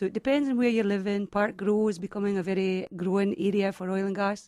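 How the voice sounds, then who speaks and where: In a Scottish accent, a woman with a dark, mellow tone and a medium pitch speaks at a fairly quick pace with fairly even intonation, on a very clean, dry, close recording with a silent background and no echo. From Scotland, Highlands near Aberdeen. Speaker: real estate agent. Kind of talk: radio talk show interview.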